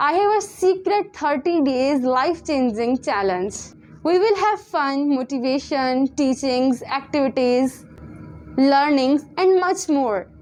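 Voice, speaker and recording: A woman speaks with a Punjabi accent at a high pitch. Her pace is fairly slow and her intonation lively. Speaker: tutor. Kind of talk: sales pitch.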